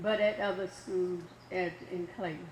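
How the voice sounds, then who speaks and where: A woman speaks slowly, at a fairly slow pace, while noticeable background noise plays behind her. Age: 80s+. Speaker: community member. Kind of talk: public comment at a meeting.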